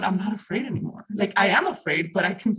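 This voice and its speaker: An animated voice in a Mexican accent moves along at a moderate pace. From Mexico. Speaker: reading group participant. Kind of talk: group discussion.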